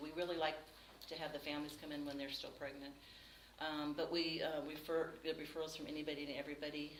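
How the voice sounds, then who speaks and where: Amid noticeable background noise and audible room echo, a woman with a very deep, low voice speaks very fast in a flat monotone. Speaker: nonprofit executive director. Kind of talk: presentation with Q&A to a grant panel. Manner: many fillers (um, uh).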